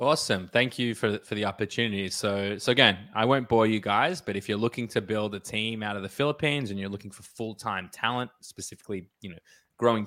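A man speaks at a fairly quick pace in a fairly low pitch, with a bright, sharp tone. The recording is very clean, with a silent background. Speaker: e-commerce entrepreneur and consultant. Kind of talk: casual interview chat.

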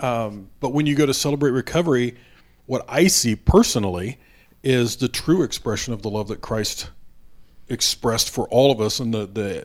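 A man with an American accent speaks at a moderate pace, his pitch medium with ordinary variation. The recording is very clean, with a silent background. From US Midwest, Indiana. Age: 50s. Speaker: recovery advocate. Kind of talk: interview.

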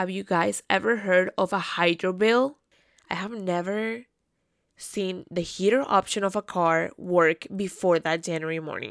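In a Spanish accent, a woman at a medium pitch speaks at a fairly slow pace with an animated tone and ordinary pitch variation, captured in a very clean recording with a silent background and a dry, close sound with no echo. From South America, raised in Canada from age ten. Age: 20s. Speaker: podcast host. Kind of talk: solo casual monologue.

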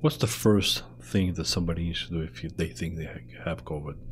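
A man's very deep, low pitch with vocal fry and a non-native accent at a moderate pace. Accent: foreign-accented English. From immigrant to Canada. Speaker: show host. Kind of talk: casual interview.

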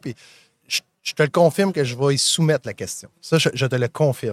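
A man with an unremarkable speaking voice talks at a fairly quick pace, fairly high in pitch with ordinary pitch variation, in a dry, close sound with no echo. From Magdalen Islands, Quebec. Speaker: podcast host. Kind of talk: live interview. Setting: live event booth.

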